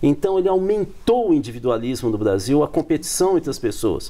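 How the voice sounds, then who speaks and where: With music playing in the background, a man speaks at a moderate pace in a high pitch, making very wide pitch swings. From Brazil, countryside. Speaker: political scientist. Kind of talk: TV panel discussion.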